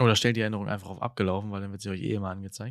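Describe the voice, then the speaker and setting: A very clean recording with no background sound presents a man speaking at a fairly low pitch. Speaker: podcast host. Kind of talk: casual chat. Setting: indoors at home, window open. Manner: hesitant, many filler sounds.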